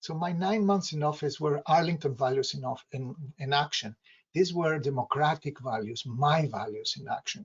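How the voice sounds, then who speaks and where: A man speaks at a moderate pace in a fairly high pitch. His voice is somewhat breathy, with ordinary pitch variation. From outside the US. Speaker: local political candidate. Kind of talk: campaign speech.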